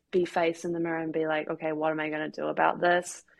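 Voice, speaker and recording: A woman with a New Zealand accent speaks in a fairly low pitch, her intonation monotone and flat. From New Zealand, Christchurch. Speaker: professional footballer. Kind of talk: casual interview.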